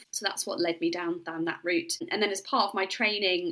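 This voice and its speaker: Behind the speaker, background noise is noticeable. She is a woman speaking fairly quickly. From Yorkshire, northern England. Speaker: doctor, menopause specialist. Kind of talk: interview. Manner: hesitant, with fillers.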